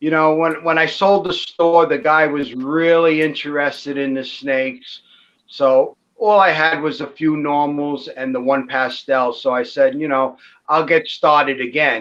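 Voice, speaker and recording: A plain, everyday voice from a man, fairly high in pitch, at a fairly slow pace with ordinary pitch variation. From New York City, Brooklyn. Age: 60s. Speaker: ball python breeder. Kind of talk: casual chat. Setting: live stream.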